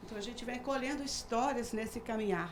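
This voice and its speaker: In a room with audible echo and noticeable background noise, a woman speaks at a fairly high pitch. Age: 60s. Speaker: retired university professor and businesswoman. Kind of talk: TV talk show discussion. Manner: halting, many fillers.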